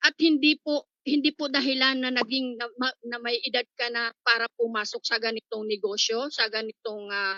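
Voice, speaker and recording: A woman talks at a moderate pace. Her pitch is fairly high, with ordinary pitch variation. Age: 60s. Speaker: network marketing member. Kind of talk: testimony. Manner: halting.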